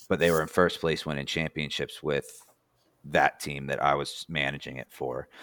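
A man with an American accent speaks with very deep, low pitch, vocal fry and monotone, flat intonation. The sound is dry and close with no echo, in a very clean recording with a silent background. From New Jersey. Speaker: former race car driver. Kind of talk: casual chat.

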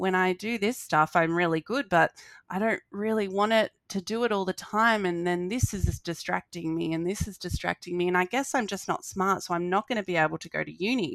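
On a very clean recording with a silent background and a dry, close sound with no echo, a woman speaks at a fairly quick pace and medium pitch with ordinary pitch variation and hardly any pauses. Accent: Australian. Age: 30s. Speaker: social work student and court support worker. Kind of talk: casual interview chat.

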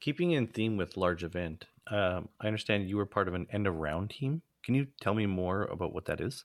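At a fairly quick pace and with hardly any pauses, a man speaks in an ordinary speaking voice, fairly low in pitch with lively intonation, on a very clean recording with a silent background. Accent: Canadian. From Alberta, Canada. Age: 40s. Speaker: podcast co-host. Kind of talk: casual chat.

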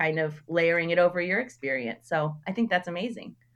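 Delivered at a moderate pace, this is an ordinary speaking voice with ordinary pitch variation. The background is quiet. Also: woman. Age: 30s. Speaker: artist and educator. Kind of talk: casual chat.

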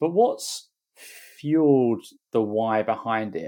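This is a man with a normal speaking voice. It sits fairly low. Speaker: podcast host. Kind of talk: interview conversation.

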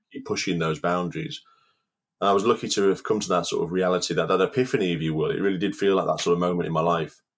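A man with a Cumbrian accent, very deep, low pitch, ordinary pitch variation and a very fast pace, on a very clean recording with a silent background. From Cumbria, northern England. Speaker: outdoor cook and inspirational speaker. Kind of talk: interview, personal story.

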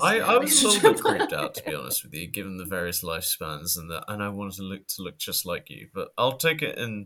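With a British accent, a man speaks at a very fast pace. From Britain. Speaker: podcast co-host.

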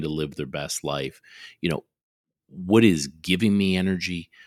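With a very deep, low pitch and ordinary pitch variation, a man is heard in a dry, close sound with no echo on a very clean recording with a silent background. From Canada. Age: middle-aged. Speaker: oral and maxillofacial surgeon, podcast co-host. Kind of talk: casual chat.

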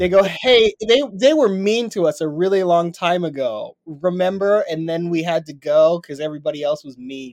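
Speaking at a moderate pace with an American accent, a man with a high pitch uses lively intonation, big swings in loudness and hardly any pauses. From Salt Lake City, Utah. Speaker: stand-up comedian and comedy writer. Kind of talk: casual chat.

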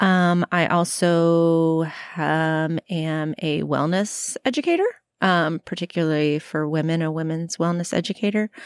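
In a normal speaking voice, a woman with an American accent talks at a fairly slow pace with a fairly low pitch and fairly even intonation, in a dry, close sound with no echo. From Florida, US South. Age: 40s. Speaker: teacher and personal trainer. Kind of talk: casual chat. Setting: outdoors on a porch.

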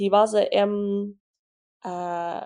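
A woman with an English accent speaks against a quiet background. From England. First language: English (speaking Vietnamese). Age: 20s. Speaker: business owner. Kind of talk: casual interview. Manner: halting, code-switching Vietnamese and English.

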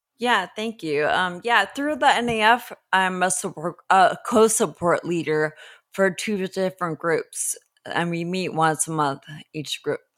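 A woman speaks at a fairly slow pace with a medium pitch and lively intonation, in an American accent. The recording is very clean, with a silent background. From Southern California, Los Angeles. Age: 40s. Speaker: person living with ataxia, support group leader. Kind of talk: interview. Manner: halting, repeats words.

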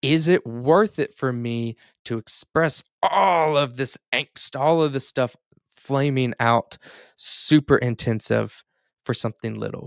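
A man speaks very slowly at a medium pitch with ordinary pitch variation, in a dry, close sound with no echo. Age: 30s. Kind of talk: solo podcast monologue. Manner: hesitant, many fillers and repeats.

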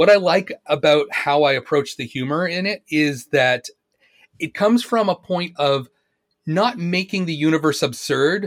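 A man with a Canadian accent has a plain, everyday voice, pitched fairly high, and talks at a fairly slow pace with lively intonation; the sound is dry and close with no echo, on a very clean recording with a silent background. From Canada, Ontario. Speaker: fiction writer. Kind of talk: casual chat.

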